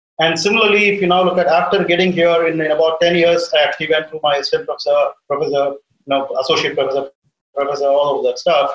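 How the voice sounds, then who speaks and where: The man's voice sits high. He speaks at a very fast pace with fairly even intonation. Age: 50s. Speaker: aerospace engineering professor. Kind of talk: interview.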